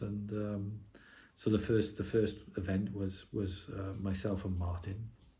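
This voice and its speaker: Spoken at a moderate pace in an English accent, the voice has a dark, mellow tone, is somewhat breathy and stays flat and monotone, with audible room echo. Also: man. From England. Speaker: electronic musician. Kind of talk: casual interview. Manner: hesitant, many fillers and repeats.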